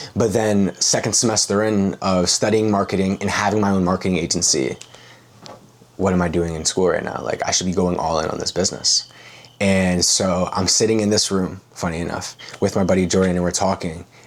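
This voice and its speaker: Against noticeable background noise, a man with a very deep, low voice speaks at a fairly quick pace. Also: fairly even intonation. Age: 20s. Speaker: high-ticket sales closer. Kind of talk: interview. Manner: casual, filler-heavy.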